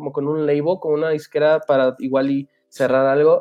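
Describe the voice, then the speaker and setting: Using an unremarkable speaking voice, a man talks at a moderate pace with a fairly high pitch. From Aguascalientes, Mexico, raised in Houston. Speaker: musician. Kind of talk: casual chat.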